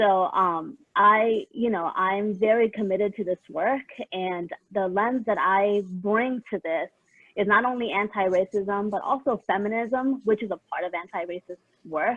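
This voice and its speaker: A woman speaks at a fairly slow pace, her medium-pitched voice showing ordinary pitch variation. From San Diego, California. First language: Spanish. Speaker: equity and inclusion consultant, panelist. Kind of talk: conference panel self-introduction.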